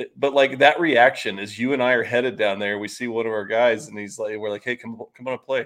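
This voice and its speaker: Using an ordinary speaking voice, a man speaks at a fairly quick pace with a medium pitch. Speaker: staff writer guest. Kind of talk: casual podcast conversation.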